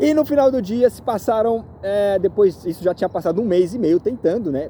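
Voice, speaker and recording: Against noticeable background noise, a man speaks at a fairly quick pace with a high pitch and lively intonation. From Brazil. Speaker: real estate agent. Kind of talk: vlog monologue. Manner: halting, many fillers.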